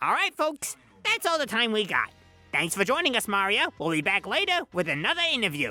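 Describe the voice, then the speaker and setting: Faint music plays in the background behind a put-on character voice. It moves at a fairly quick pace with very wide pitch swings. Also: man, high pitch for a man. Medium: audio drama. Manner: brash, folksy, wisecracking.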